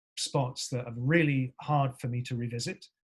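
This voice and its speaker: The voice belongs to a man and sounds somewhat breathy. The recording is dry and close, with no echo. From Surrey, southern England. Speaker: actor. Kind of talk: podcast interview. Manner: halting, many fillers.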